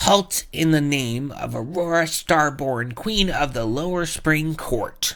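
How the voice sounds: A squeaky put-on character voice sits at a middle pitch. It moves at a fairly slow pace.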